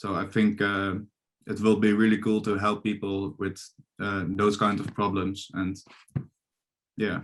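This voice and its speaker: Speaking fairly slowly with long, frequent pauses, a man with a Dutch accent keeps a fairly low pitch and a monotone, flat intonation. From Netherlands. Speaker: psychology student. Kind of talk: interview. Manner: halting, many fillers.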